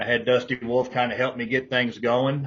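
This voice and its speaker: A man's medium-pitched voice with a Texan accent, flat monotone intonation and a moderate pace. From Texas, Fort Worth. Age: 60s. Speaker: pro wrestler and wrestling promoter. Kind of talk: interview.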